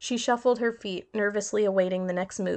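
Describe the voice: What we hear is plain reading aloud.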